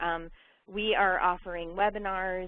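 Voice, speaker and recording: A woman's medium-pitched voice. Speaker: education nonprofit representative. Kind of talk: webinar presentation. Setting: webinar. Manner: fast.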